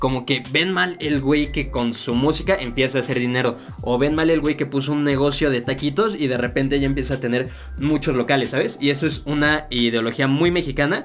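This man has a plain, everyday voice, fairly high in pitch with ordinary pitch variation. He speaks at a fairly quick pace and a very even loudness. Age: 20s. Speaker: podcast co-host, student and café supervisor. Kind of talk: casual chat. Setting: studio.

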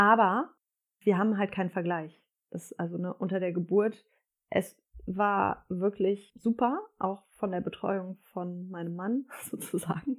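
Fairly slow, medium-pitched speech from a woman. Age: 30s. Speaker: mother sharing birth stories. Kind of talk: casual interview chat.

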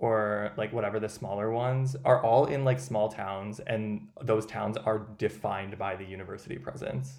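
A man talks at a moderate pace with an American accent. His intonation is lively, and he has a normal speaking voice. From US Midwest. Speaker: podcast host. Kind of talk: casual chat.

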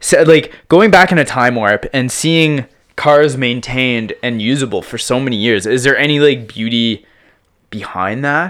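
In a very clean recording with a silent background, a man with an ordinary speaking voice talks at a fairly slow pace, at medium pitch and with ordinary pitch variation. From Prince Edward Island, Canada. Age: 30s. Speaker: music producer and DJ. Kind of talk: casual chat. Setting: home studio.

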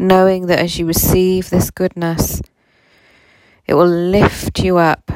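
Very slow, soothing, gentle speech with monotone, flat intonation, long, frequent pauses and very even loudness, in a dry, close sound with no echo. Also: woman, fairly low pitch for a woman. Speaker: spiritual guide and meditation host. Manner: slow, soothing, gentle and calming, with warm laughs; warm and reassuring.

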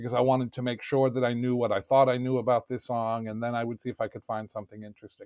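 A very fast, flat, monotone delivery in a New York accent, with hardly any pauses. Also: man, medium pitch for a man. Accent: New York American. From New York City. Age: 60s. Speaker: podcast guest. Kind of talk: casual chat.

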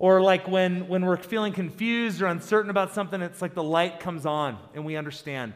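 On a very clean recording with a silent background, a man speaks at a high pitch with ordinary pitch variation. He keeps a fairly quick pace with hardly any pauses. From South Dakota. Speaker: pastor. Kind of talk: sermon.

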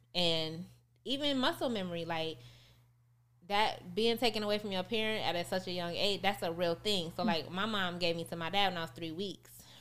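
An ordinary speaking voice: a woman at medium pitch with an American accent, fairly quick pace and ordinary pitch variation, on a very clean recording with a silent background. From rural West Texas (Midland). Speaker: entrepreneur and author. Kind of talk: casual chat. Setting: studio.

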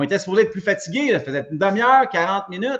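High male pitch with very wide swings in a man's speech. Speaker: gym owner and fitness coach. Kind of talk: casual chat. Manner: halting.

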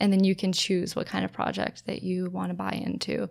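A woman speaks in an American accent. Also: very clean recording, silent background. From United States. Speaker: sustainability consultant. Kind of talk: interview.

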